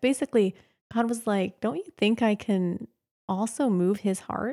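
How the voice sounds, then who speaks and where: In a very clean recording with a silent background and a dry, close sound with no echo, a woman with an American accent uses an ordinary speaking voice at medium pitch and a moderate pace. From Pennsylvania, US. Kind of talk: casual interview.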